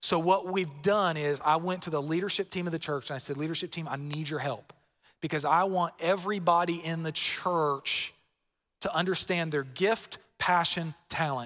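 Through a very clean recording with a silent background, a man with a Southern US accent speaks at a moderate pace in a high pitch, with a bright, sharp tone and fairly even intonation. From Florida. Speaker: pastor. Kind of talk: sermon. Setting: church.

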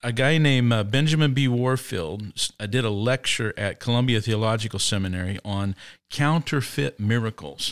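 In a very clean recording with a silent background and a dry, close sound with no echo, a man with a Midwestern American accent talks at a moderate pace and medium pitch with ordinary pitch variation. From Indiana, US Midwest. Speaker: pastor. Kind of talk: casual chat.

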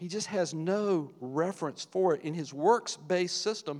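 This man speaks in a high voice. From US South, rural Virginia. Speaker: church elder, lay preacher. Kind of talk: sermon.

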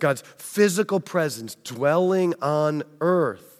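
Speech comes at a very slow pace with an American accent and ordinary pitch variation. The recording is very clean, with a silent background. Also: man. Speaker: pastor. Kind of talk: sermon.

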